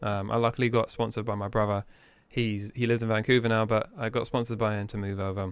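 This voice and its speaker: The man talks at a very fast pace with monotone, flat intonation, recorded very cleanly against a silent background. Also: medium pitch for a man. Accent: English. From England. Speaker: business owner. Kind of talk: casual interview chat.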